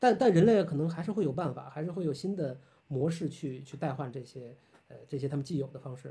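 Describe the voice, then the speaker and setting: Very fast and somewhat breathy, a man speaks with a dark, mellow tone at a fairly high pitch. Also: ordinary pitch variation, big swings in loudness. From Tianjin, northern China. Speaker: architect and lecturer. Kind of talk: casual chat. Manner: animated.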